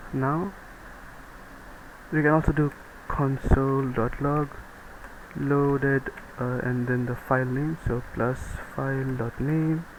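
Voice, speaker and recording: A man with a non-native accent talks at a very slow pace, at a medium pitch and with fairly even intonation. Noticeable background noise is present. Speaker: programming tutorial maker. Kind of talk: screen-recorded coding tutorial. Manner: casual, hesitant with fillers.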